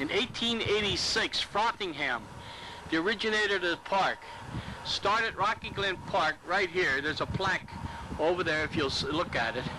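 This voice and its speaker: With noticeable background noise, a man talks at a moderate pace in a high voice with ordinary pitch variation. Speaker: park insider giving tour. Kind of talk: casual walking tour commentary. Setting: outdoors. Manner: chatty, rambling with fillers. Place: open country. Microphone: old recording.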